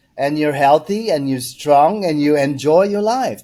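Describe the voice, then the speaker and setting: This man's voice is fairly high-pitched, with a dark, mellow tone. He speaks at a fairly slow pace with ordinary pitch variation. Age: 60s. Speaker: founder of a cleanse company. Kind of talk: interview.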